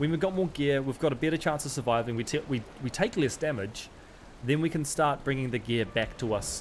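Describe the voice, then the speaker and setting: A man speaks with a New Zealand accent. His pitch is fairly high, with ordinary variation. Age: 40s. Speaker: gaming streamer. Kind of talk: live gameplay commentary. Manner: casual, chatty.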